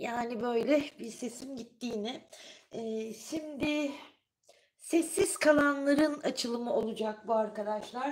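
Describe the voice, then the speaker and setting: A woman speaks at a very slow pace. Her high pitch shows ordinary variation. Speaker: tarot reader. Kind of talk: live tarot reading stream. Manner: casual, chatty.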